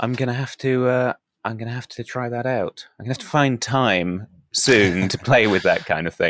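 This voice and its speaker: With a British accent, a man talks at a moderate pace and medium pitch with ordinary pitch variation, and the sound is dry and close with no echo. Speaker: podcast host. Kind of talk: casual interview chat.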